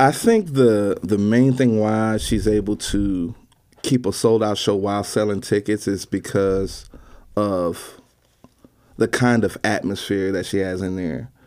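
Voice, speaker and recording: At a fairly slow pace, a man with an unremarkable speaking voice talks in a fairly low pitch with fairly even intonation, on a very clean recording with a silent background. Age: 30s. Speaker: bass player and band leader. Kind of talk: casual interview.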